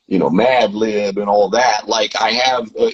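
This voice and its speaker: Speaking with a Southern US accent, a man keeps a fairly slow pace and fairly even intonation. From US South, Tennessee. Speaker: rapper and producer. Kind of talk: interview.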